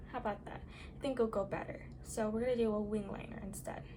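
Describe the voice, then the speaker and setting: A soft-spoken woman talks at a fairly quick pace and a fairly high pitch. Audible room echo and noticeable background noise surround her voice. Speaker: makeup tutorial creator. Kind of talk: makeup tutorial. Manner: quiet, soft-spoken.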